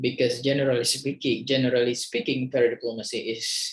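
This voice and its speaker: Someone speaks at a moderate pace in an Indonesian accent. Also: man. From Indonesia, East Kalimantan. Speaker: university lecturer. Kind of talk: lecture. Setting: screen-share video recording. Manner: halting, many fillers.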